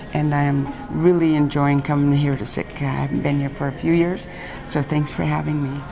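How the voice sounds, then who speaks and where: Amid noticeable background noise and audible room echo, a woman with a very deep, low pitch talks at a fairly quick pace with fairly even intonation. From Alaska, Aleutian Islands. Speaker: traditional artist and teacher. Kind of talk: interview. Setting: school visit.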